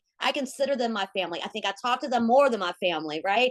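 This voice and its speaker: With a fairly high pitch and lively intonation, a woman speaks in an animated tone, the sound dry and close with no echo. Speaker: network marketing team leader. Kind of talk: onboarding training call. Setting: video call. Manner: high energy.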